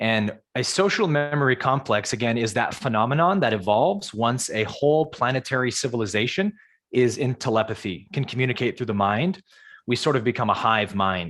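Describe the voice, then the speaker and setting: A man with an American accent speaks in an unremarkable speaking voice at a medium pitch. His pace is fairly quick and his intonation lively. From US West Coast, San Jose California. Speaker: spiritual teacher. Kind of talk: live Q&A on a video call.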